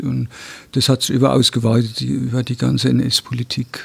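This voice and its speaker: A somewhat breathy man's voice at medium pitch, with fairly even intonation and a moderate pace. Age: 60s. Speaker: descendant of Nazi persecution victim. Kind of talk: interview testimony. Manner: halting, frequent hesitations.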